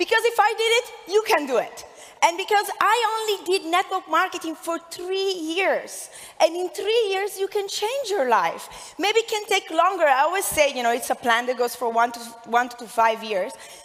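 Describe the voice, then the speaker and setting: Energetic and delivered at a moderate pace, this voice has an Italian accent and very wide pitch swings. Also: woman, extremely high pitch for a woman. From Italy (Milan). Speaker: network marketing entrepreneur. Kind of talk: motivational speech. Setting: stage with audience.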